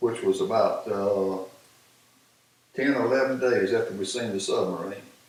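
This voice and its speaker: A man speaks at a fairly slow pace, and the room echo is audible. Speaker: war veteran. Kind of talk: casual chat. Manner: halting.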